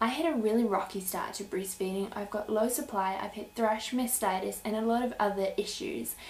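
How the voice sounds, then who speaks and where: A woman with a New Zealand accent, fairly high in pitch with ordinary pitch variation, fairly quick with hardly any pauses, amid audible room echo. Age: 20s. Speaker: YouTuber, breastfeeding mother; YouTuber. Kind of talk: vlog introduction. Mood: warm, earnest. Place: home room. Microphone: webcam.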